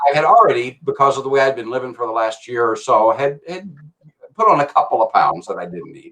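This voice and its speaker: A man is speaking. His pace is fairly quick. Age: 60s. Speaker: guest sharing weight-loss story. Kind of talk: interview testimony. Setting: livestream. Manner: halting.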